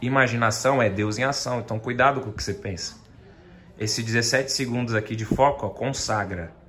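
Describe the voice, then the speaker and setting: In an unremarkable speaking voice, a man talks at medium pitch and a moderate pace with fairly even intonation over light background noise. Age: 20s. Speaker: YouTuber and funk music producer; YouTuber. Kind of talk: casual vlog chat. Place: home room. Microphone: phone near.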